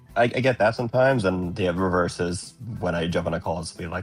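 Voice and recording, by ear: A man with a very deep, low pitch and ordinary pitch variation talks at a very fast pace over music in the background.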